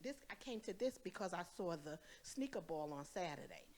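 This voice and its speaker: In an animated tone, a woman speaks with very wide pitch swings. Her pace is fairly slow. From Brooklyn, New York. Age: 60s. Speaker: audience member asking a question. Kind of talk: Q&A question from audience.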